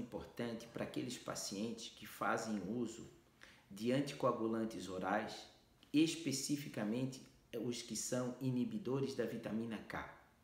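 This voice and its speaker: A man talks at a moderate pace with ordinary pitch variation, his voice somewhat breathy. Audible room echo surrounds the speech. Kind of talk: health explainer to camera.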